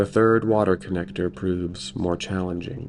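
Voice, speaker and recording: A man with an American accent and a very deep, low voice, with music in the background. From United States. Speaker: storyteller. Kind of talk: sleep story. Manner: slow, gentle.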